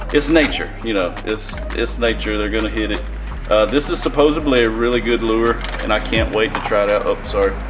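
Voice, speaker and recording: Clear music can be heard behind the speech. The man talks at a fairly quick pace. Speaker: fishing channel host. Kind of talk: casual unboxing vlog chat. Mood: amused, excited. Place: garage.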